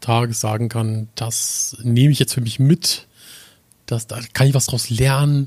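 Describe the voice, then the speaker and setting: The voice belongs to a man and is somewhat breathy. It sits at a medium pitch. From northern Germany. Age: 20s. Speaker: podcast co-host. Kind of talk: casual chat.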